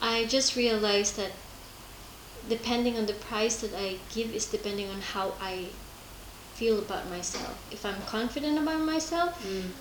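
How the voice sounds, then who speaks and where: A woman with a fairly high voice speaks at a moderate pace with lively intonation. Noticeable background noise and audible room echo surround her. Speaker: podcast host. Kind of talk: casual interview. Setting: at guest's home. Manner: halting, many fillers.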